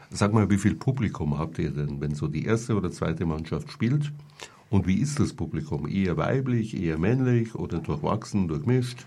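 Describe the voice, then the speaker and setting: Noticeable background noise runs under a man speaking at a moderate pace. His fairly low voice swings very widely in pitch. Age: 60s. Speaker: radio host. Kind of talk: casual chat. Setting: studio.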